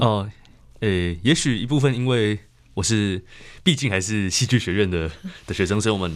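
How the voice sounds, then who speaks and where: Long pauses break up the talk frequently. Otherwise the delivery keeps a moderate pace. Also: man, fairly low pitch for a man, ordinary pitch variation. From Taiwan, Puli (Nantou). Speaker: nature writer. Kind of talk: interview. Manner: halting.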